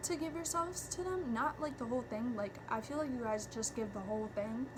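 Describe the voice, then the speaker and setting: A woman with a fairly high pitch and lively intonation speaks over noticeable background noise, with audible room echo. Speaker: tarot reader. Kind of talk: tarot reading monologue. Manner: filler-heavy, halting.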